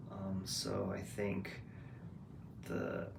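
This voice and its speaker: In a room with audible echo, a man speaks at a fairly low pitch. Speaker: vlogger. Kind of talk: casual monologue vlog. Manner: loud; hesitant, many fillers.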